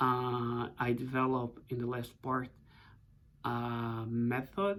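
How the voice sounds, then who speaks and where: In a Portuguese accent, a man talks at a medium pitch on a very clean recording with a silent background. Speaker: professor. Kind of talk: book introduction talk. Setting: office. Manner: hesitant, many fillers.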